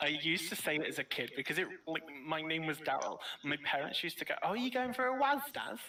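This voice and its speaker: Through noticeable background noise, a man with a British accent talks at a very fast pace in a fairly high pitch with very wide pitch swings. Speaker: gamer on livestream. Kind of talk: casual chat. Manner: loud.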